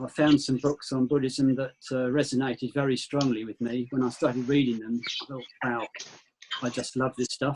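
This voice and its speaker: In a southern English accent, a man speaks at a moderate pace in a monotone, flat intonation, with a dry, close sound and no echo. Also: medium pitch for a man. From southern England, Kent. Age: 60s. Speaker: retired volunteer. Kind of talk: video meeting introduction.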